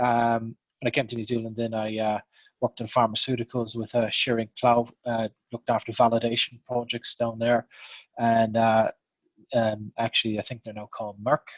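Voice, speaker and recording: A man speaks in an Irish accent with monotone, flat intonation at medium pitch. The sound is dry and close with no echo, at a moderate pace. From Ireland. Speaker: programme manager. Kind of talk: panel introduction.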